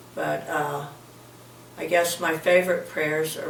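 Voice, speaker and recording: A woman's fairly slow speech comes through noticeable background noise and audible room echo. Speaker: grandmother interviewed for school project. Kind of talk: interview answers. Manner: halting, many fillers.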